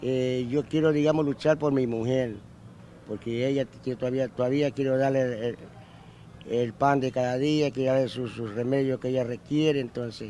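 A man talks at a moderate pace in a monotone, flat intonation. The sound is dry with no echo, with light background noise. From coastal Ecuador, Manabí (Santa Ana); Manabí, Ecuador. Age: 80s+. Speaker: elderly street singer; interviewee. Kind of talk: interview; interview answer. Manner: halting. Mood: earnest, hard-pressed. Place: street. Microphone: handheld.

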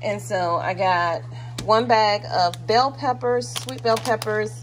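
A woman speaks slowly, with ordinary pitch variation. Background noise is clearly audible.

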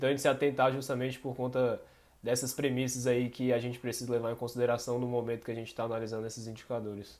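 The man races along at a very fast pace. His delivery is monotone and flat. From Brazil. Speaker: finance co-host. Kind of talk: educational Q&A podcast. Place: home room.

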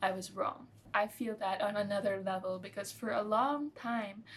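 A woman's voice comes across as somewhat breathy. Light background noise sits behind it. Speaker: nutrition vlogger. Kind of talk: casual vlog chat. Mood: reflective, candid, some laughs. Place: home room.

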